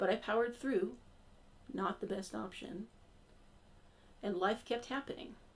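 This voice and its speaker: Vocal fry marks a woman's medium-pitched voice as she talks at a moderate pace with ordinary pitch variation. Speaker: congregation member giving a church sermon. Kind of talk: sermon delivered to a congregation, personal storytelling. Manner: humorous, personal, conversational.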